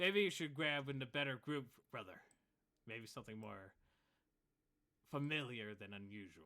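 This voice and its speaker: The put-on character voice is broken by long, frequent pauses. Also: man, medium pitch for a man, moderate pace. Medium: actual play. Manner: scornful, blustering.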